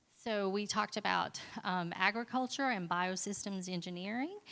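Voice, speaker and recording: A woman speaks at a moderate pace with a bright, sharp tone and medium pitch, on a very clean recording with a silent background. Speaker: school librarian presenting at conference. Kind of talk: conference presentation.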